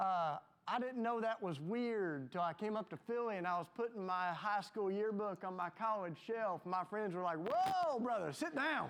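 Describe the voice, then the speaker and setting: A man with a Southern US accent and a high pitch talks at a moderate pace with lively intonation and hardly any pauses. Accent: Southern US, noticeable. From US South, Tennessee. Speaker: panelist. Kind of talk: panel discussion.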